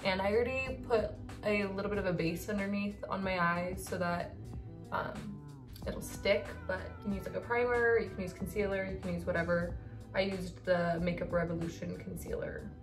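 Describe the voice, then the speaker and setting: A woman talks at a moderate pace while clear music sounds in the background. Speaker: beauty vlogger. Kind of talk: makeup tutorial chat. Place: home room. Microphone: phone near.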